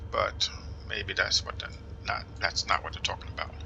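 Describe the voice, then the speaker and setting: A man with an American accent talks as noticeable background noise carries on. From New Jersey, US. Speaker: flight simulator gamer. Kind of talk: casual gameplay commentary. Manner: halting, self-correcting.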